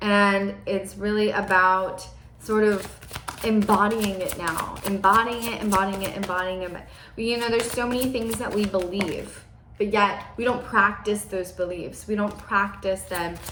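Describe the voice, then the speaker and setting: Animated in tone, a woman speaks at a medium pitch. There is audible room echo and noticeable background noise. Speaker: spiritual forecaster. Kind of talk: channeled energy forecast monologue. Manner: fast.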